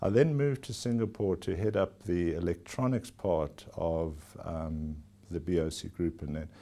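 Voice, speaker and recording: A man with a South African accent speaks at a fairly slow pace, his very deep, low voice dark and mellow in tone. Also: lively intonation. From South Africa (KwaZulu-Natal). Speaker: company chief executive. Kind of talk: formal TV interview. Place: office. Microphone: lapel.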